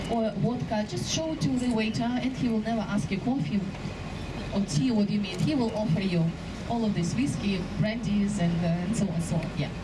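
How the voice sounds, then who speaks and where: Loud background noise fills the clip. The speech comes at a fairly quick pace. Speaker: tour guide. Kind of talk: live guided boat-tour narration pointing out passing sights to tourists. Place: boat.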